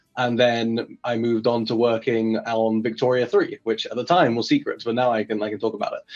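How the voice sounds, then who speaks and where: Speaking with an English accent, a man talks at a fairly quick pace and medium pitch, monotone and flat, with hardly any pauses. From England. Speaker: game developer. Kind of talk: interview.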